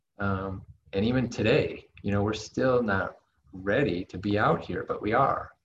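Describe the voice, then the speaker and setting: With an American accent, a man speaks at a fairly low pitch. His voice is somewhat breathy, with ordinary pitch variation. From United States. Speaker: online entrepreneur. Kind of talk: interview.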